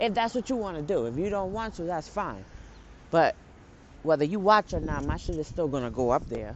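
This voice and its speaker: A woman with an American accent speaks fairly quickly, her fairly low pitch swinging very widely and breaking into vocal fry. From New York City, the Bronx. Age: 30s. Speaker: podcaster. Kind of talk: casual vlog-style monologue. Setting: outdoors, walking to and waiting at bus stop. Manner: animated, laughing often.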